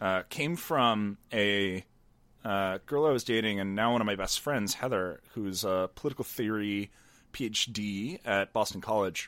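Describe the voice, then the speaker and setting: An ordinary speaking voice, a man's with an American accent and fairly low pitch, moves at a fairly slow pace with ordinary pitch variation on a very clean recording with a silent background. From rural Pennsylvania, US. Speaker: podcast host and political commentator. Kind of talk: casual interview conversation.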